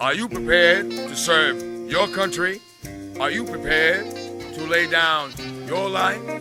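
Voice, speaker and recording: Background music plays throughout. The delivery is fairly slow. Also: man. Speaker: spoken word poet and performer. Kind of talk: spoken word storytelling, poetry performance. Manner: rhythmic, expressive storytelling.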